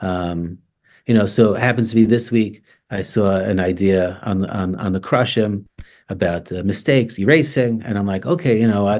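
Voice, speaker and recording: Over a quiet background, a man with an American accent speaks at a moderate pace in a fairly low voice with ordinary pitch variation. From New York, Staten Island. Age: 50s. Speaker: rabbi. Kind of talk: interview. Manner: informal.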